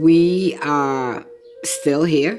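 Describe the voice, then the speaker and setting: With music in the background and audible room echo, a woman speaks in an American accent at a very deep, low pitch. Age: 70s. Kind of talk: documentary testimony.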